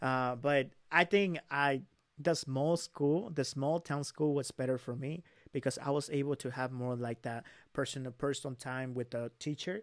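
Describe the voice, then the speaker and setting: The speaker is a man with a fairly high pitch and ordinary pitch variation. The sound is dry and close, with no echo. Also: moderate pace, very clean recording, silent background. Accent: Spanish. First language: Spanish. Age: 20s. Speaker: young entrepreneur. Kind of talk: casual interview.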